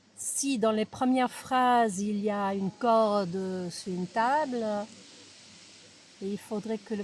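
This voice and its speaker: A woman with a slight non-native accent speaks at a very slow pace and a fairly high pitch. Her voice is somewhat breathy, with fairly even intonation. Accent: slight foreign accent in French. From United States. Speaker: writer's daughter, interviewee. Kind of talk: interview. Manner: hesitant, with fillers.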